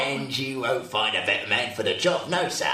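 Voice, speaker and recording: In a put-on character voice at a medium pitch, a man talks at a moderate pace with a slight echo. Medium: old radio play. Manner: overfamiliar, chatty, self-promoting.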